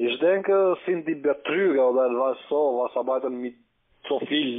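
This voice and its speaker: With a quiet background, a man talks at a moderate pace, his pitch varying in an ordinary way. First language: not German (speaking German). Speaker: scam call center agent. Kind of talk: casual chat. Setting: phone call. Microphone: phone line.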